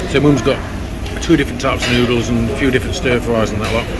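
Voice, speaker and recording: There is a man talking. Heavy noise fills the background. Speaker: food vlogger. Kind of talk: casual vlog chat. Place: cafe. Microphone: phone near.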